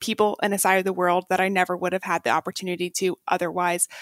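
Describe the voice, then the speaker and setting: A woman with an American accent talks at a very fast pace. The recording is very clean and dry, close-miked with no echo and a silent background. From Texas. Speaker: investment analyst. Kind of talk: interview storytelling.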